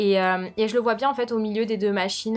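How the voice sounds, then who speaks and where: Ordinary pitch variation in a woman's medium-pitched voice. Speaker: lifestyle youtuber. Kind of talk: product review vlog. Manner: fast; casual with many fillers.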